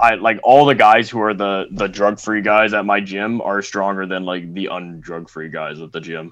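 A man with an ordinary speaking voice and a Canadian accent, fairly low in pitch, at a moderate pace with hardly any pauses and ordinary pitch variation. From Canada. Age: 20s. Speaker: junior powerlifter. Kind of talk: casual interview. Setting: remote recording.

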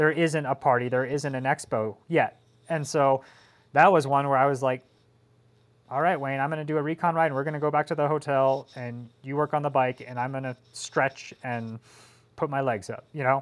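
A man with an American accent and a normal speaking voice talks at a moderate pace with a fairly high pitch and fairly even intonation, in a very clean recording with a silent background. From Colorado, US. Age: 30s. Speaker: professional cyclist. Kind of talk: casual chat.

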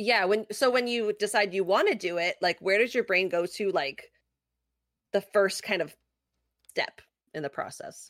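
An unremarkable speaking voice at a moderate pace, with ordinary pitch variation and a dry, close sound with no echo. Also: woman, medium pitch for a woman. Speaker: podcast co-host. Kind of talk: casual chat. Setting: live online stream, remote. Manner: bubbly, laughs often.

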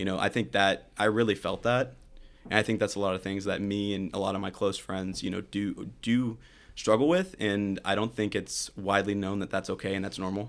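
A man with a plain, everyday voice, fairly low pitch, fairly even intonation, and a fairly quick pace, on a very clean recording with a silent background. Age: 20s. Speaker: college student. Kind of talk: casual interview.

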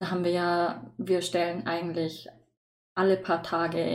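A woman's fairly low, plain, everyday voice at a moderate pace. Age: young. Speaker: student podcast host. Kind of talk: casual chat.

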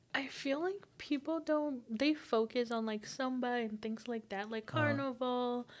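A woman speaks at a moderate pace in a high voice with ordinary pitch variation, hardly pausing at all, over noticeable background noise. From Brazil. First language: Portuguese. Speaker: psychology student. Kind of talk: casual chat.

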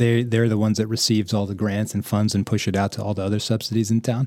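A man speaks in a fairly low pitch. His intonation stays fairly even. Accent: East Coast American. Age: 30s. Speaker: real estate investor. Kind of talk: casual chat.

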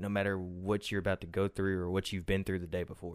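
A man speaks in a plain, everyday voice at a fairly low pitch and a fairly quick pace. The recording is very clean, with a silent background. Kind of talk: interview. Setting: studio.

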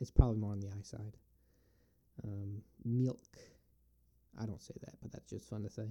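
A man speaks in a dark, mellow tone at a fairly low pitch with monotone, flat intonation. His pace is moderate, with big swings in loudness and long, frequent pauses. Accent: American. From US Northeast, Binghamton, New York. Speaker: podcast host. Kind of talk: solo Q&A monologue. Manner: halting, many fillers.

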